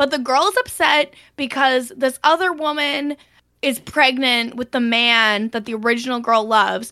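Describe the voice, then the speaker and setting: A woman uses a raised, projected voice with a high pitch and a bright, sharp tone. She speaks at a moderate pace with ordinary pitch variation on a very clean recording with a silent background. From Canada. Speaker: guest. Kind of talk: casual chat.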